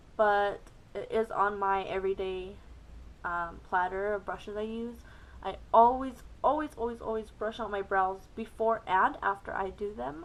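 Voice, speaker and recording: Here is a woman with a normal speaking voice at a medium pitch. She talks at a moderate pace with ordinary pitch variation. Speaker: beauty youtuber. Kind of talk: makeup tutorial. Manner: casual, frequent ums.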